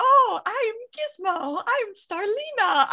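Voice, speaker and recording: A put-on character voice squeaks at an extremely high pitch. It moves at a very slow pace with very wide pitch swings. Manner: speaking as the pet.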